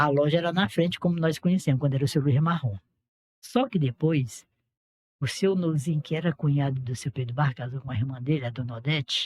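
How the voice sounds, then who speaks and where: A man with a fairly high, somewhat breathy voice speaks at a fairly quick pace. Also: ordinary pitch variation, dry, close sound with no echo. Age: 70s. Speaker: local elder recounting town history. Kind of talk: casual podcast conversation, reminiscing.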